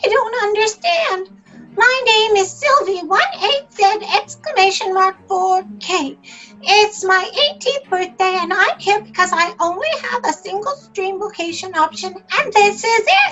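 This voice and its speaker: A woman puts on a squeaky character voice at an extremely high pitch, speaking at a fairly slow pace. Faint music plays in the background. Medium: audio drama.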